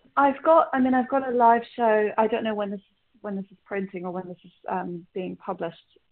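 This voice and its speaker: A woman with a London accent talks at a fairly quick pace with hardly any pauses and a fairly high pitch. Her intonation is lively and her loudness swings widely. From London, England (partly Ireland). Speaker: singer-songwriter. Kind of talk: interview. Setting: phone call.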